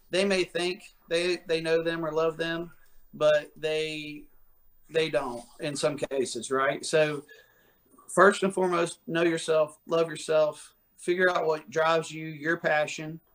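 Spoken at a fairly slow pace with an American accent, this is an unremarkable speaking voice with fairly even intonation. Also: man, fairly high pitch for a man. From West Virginia. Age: 30s. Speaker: fitness coach. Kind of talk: casual interview. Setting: video call.

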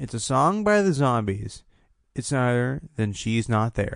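The background is quiet. A man with a normal speaking voice talks with lively intonation. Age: 20s. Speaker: music podcast host and songwriter. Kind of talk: solo podcast monologue. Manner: fast.

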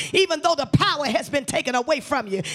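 A man's animated, raised and projected voice over noticeable background noise. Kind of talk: sermon. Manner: animated, call-and-response preaching, urging the congregation to repeat after her; emphatic, building intensity with repeated words and exhortations.

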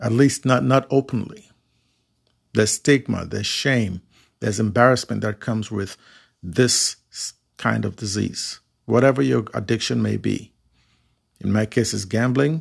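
On a very clean recording with a silent background, a man of medium pitch talks with vocal fry at a moderate pace, with ordinary pitch variation and long, frequent pauses. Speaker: podcast host and recovering addict. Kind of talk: solo monologue podcast, unscripted, personal reflection. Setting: home-recorded solo microphone. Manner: halting, hesitant with frequent fillers and restarts; sincere and reflective, self-deprecating.

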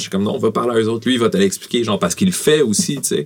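Talking very fast, a man uses ordinary pitch variation. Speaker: rapper and actor. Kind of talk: casual chat.

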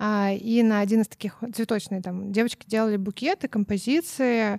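A woman's dark, mellow voice at medium pitch and a moderate pace, fairly even intonation, in a very clean recording with a silent background and a dry, close sound with no echo. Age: 30s. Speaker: co-founder of a children's clothing brand, former florist. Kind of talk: casual interview.

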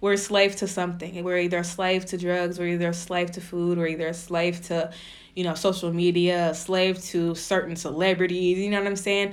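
With audible room echo, a woman with a fairly low pitch talks at a fairly quick pace in a monotone, flat intonation. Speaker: podcast host. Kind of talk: casual monologue. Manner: laid-back, laughing.

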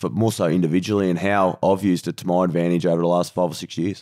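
Very deep and low, a man's voice has a dark, mellow tone and an Australian accent. The sound is dry and close with no echo, on a very clean recording with a silent background. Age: 30s. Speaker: professional footballer and podcast co-host. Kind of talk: casual chat.

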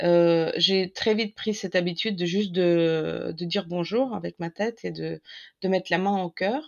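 Speaking at a fairly slow pace, a woman with a Russian accent has a fairly low pitch. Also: ordinary pitch variation. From Ukraine. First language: Russian (speaking French). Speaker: co-author of a war diary. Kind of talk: interview. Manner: halting.

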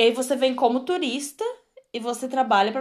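A woman talks with lively intonation. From Brazil, Rio Grande do Sul (Torres). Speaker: podcast co-host. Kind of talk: casual chat. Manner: loud barking laugh.

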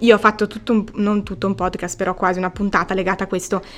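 The woman's voice is medium in pitch. She talks very quickly. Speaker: podcast host. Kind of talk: casual interview chat. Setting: on location in Antwerp, in person. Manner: talkative.

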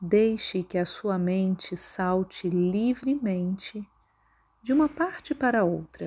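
This woman's voice sits at a medium pitch, dark and mellow, somewhat breathy, calm and soothing in tone, with lively intonation at a very slow pace. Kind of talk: guided meditation (yoga nidra). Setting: recorded audio for listening while lying down. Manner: slow, calm, soothing, with long pauses between instructions.

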